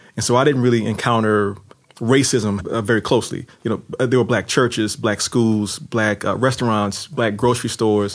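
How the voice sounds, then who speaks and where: A man with a New Orleans accent and a medium pitch, at a moderate pace with fairly even intonation, over noticeable background noise. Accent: New Orleans American English. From US, New Orleans. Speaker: novelist and former lawyer. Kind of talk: interview. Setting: studio.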